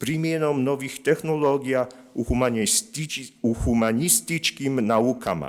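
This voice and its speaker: In a very clean recording with a silent background, a man with a Polish accent speaks very slowly at a fairly high pitch with ordinary pitch variation. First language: Polish (speaking Croatian). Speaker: linguist, institute representative. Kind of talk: conference presentation. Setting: conference with audience. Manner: reading prepared text; halting, with many fillers.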